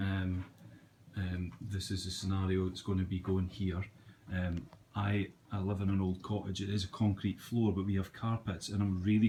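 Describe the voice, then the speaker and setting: A man speaks at a moderate pace in a fairly low, dark, mellow voice that is somewhat breathy and monotone with flat intonation. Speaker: aquarium hobbyist, joiner by trade. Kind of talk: casual video tour. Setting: at home. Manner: hesitant, many fillers; lowered voice in living room.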